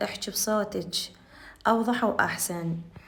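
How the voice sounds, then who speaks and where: A woman with an Iraqi accent, medium pitch and a fairly slow pace. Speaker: cooking channel host. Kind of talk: cooking tutorial.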